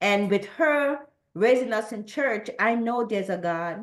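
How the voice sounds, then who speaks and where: Someone speaks with an American accent against a quiet background. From Trinidad. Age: 60s. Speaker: church member sharing testimony. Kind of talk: testimony. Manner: halting, many repeated words.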